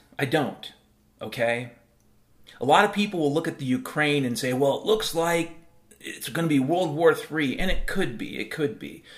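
This man has a fairly high pitch for a man, lively intonation and a moderate pace, in a normal speaking voice. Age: 50s. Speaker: podcast host. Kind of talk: solo monologue podcast. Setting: home.

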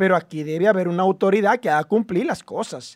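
Recorded with a dry, close sound and no echo, a man speaks high at a moderate pace with ordinary pitch variation. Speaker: political talk show host. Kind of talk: political talk show. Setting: studio.

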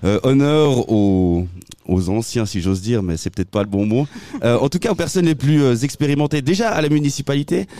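Pitch swings very widely around a medium level in this man's voice. His tone is dark and mellow, and his pace is moderate. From Switzerland, Valais (Saint-Maurice). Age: 30s. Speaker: local radio host and election candidate. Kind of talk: casual radio chat. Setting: outdoor street studio.

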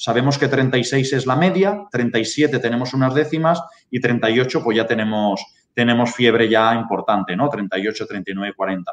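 The man speaks at a very slow pace. His pitch is medium, with ordinary pitch variation. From Spain. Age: 30s. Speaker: pig farming data consultant. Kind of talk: webinar presentation.

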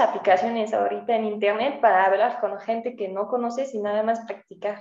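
A woman's fairly high, dark and mellow voice at a fairly quick pace. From France, Mâcon area north of Lyon. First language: French (speaking Spanish). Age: 20s. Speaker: French teacher. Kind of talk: casual interview.

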